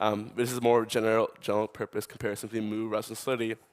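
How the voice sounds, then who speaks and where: The sound here is dry and close, with no echo. A man talks at a medium pitch. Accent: New York. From US, New York. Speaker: tech startup co-founder, conference speaker. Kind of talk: conference talk. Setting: conference stage with audience. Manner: fast.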